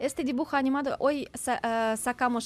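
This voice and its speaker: A woman with a Ukrainian accent at a moderate pace, with ordinary pitch variation and a quiet background. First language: Ukrainian (speaking Spanish). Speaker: refugee aid volunteer and event presenter. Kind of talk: radio interview. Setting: studio.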